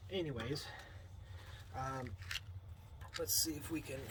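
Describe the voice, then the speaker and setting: The speaker is soft-spoken, with noticeable background noise in the recording. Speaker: vlogger. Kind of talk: casual vlog. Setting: outdoors at night. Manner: halting, many fillers; soft-spoken, quiet.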